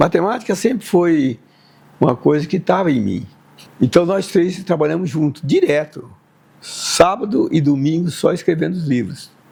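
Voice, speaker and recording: The man's voice sits high in pitch. His pace is moderate. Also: lively intonation. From Brazil, Tupã (São Paulo state). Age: 70s. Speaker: mathematics professor. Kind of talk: interview testimony. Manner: halting.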